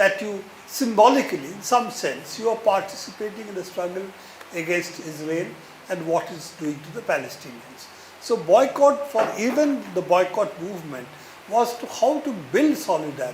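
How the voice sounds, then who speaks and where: A high-pitched man at a moderate pace, with lively intonation and big swings in loudness, plus noticeable background noise and audible room echo. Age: 70s. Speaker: speaker at a book talk. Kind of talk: Q&A answer at a public talk. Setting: bookstore event with audience.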